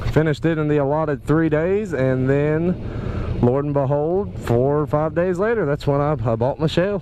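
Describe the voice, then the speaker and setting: Over noticeable background noise, a man with an American accent speaks at a moderate pace with hardly any pauses, using a fairly high pitch and ordinary pitch variation. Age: 20s. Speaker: motorcycle vlogger. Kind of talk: casual vlog monologue while riding. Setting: riding a motorcycle outdoors. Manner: animated.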